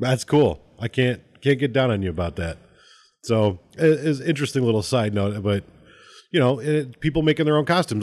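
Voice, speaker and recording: A man with an unremarkable speaking voice talks at a fairly quick pace, his medium pitch moving in lively intonation over a quiet background. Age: 30s. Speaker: podcast host. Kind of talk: casual chat.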